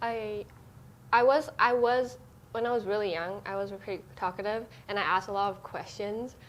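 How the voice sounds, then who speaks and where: In a Cantonese accent, a woman of medium pitch talks at a moderate pace with ordinary pitch variation. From Hong Kong. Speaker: church youth member. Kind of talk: casual chat.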